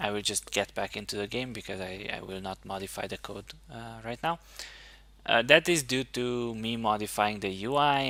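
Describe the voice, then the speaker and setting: A voice with a bright, sharp tone speaks at a moderate pace with ordinary pitch variation. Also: man. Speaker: indie game developer. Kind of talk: devlog tutorial. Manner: halting.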